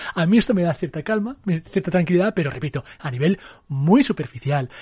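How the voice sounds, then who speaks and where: Lively in intonation, a man's fairly high voice carries a dark, mellow tone. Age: 30s. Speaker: film critic. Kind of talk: casual film discussion.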